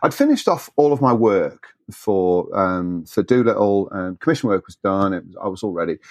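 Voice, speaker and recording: A man with a British accent speaks at a fairly low pitch and moderate pace. His pitch varies in an ordinary way, with hardly any pauses. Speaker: scale modeler and blogger. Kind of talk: casual interview chat. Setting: remote call.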